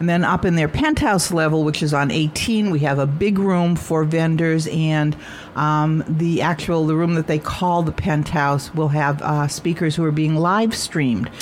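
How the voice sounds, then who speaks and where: A woman's very deep, low voice at a moderate pace, with fairly even intonation, very even loudness and hardly any pauses, over noticeable background noise. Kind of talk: radio interview.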